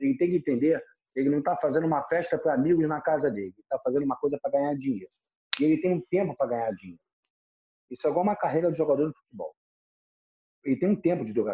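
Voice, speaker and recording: A man's very fast, fairly high-pitched delivery with lively intonation, broken by long, frequent pauses. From Rio de Janeiro, Brazil. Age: 50s. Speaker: nightlife and events executive. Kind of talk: podcast interview.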